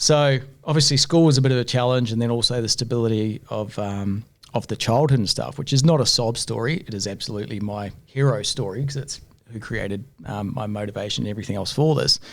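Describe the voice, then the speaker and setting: A man with a New Zealand accent speaks at a medium pitch. His pace is very fast, with ordinary pitch variation. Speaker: entrepreneur, business owner. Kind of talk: podcast interview, casual storytelling.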